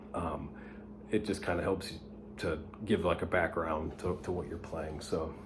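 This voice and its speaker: A man with a very deep, low voice speaks in a room with audible echo while music plays in the background. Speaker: guitar teacher. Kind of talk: tutorial. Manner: whispering, soft; hesitant, many fillers.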